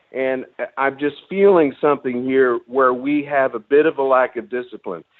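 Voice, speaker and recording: This man has an unremarkable speaking voice, pitched medium with ordinary variation. He talks at a moderate pace. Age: 60s. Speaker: caller. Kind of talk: call-in radio talk.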